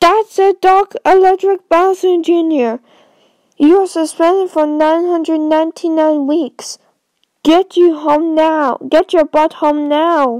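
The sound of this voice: Using a cartoonish character voice, a woman speaks at an extremely high pitch and a fairly slow pace, with fairly even intonation and very even loudness.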